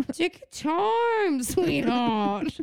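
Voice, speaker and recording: The put-on character voice is high and leaps through very wide pitch swings. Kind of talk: condescending, sweet.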